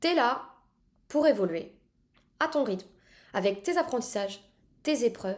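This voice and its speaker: Speaking at a fairly slow pace, a high-pitched woman uses lively intonation in a very clean recording with a silent background. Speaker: podcast host. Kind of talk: solo podcast monologue.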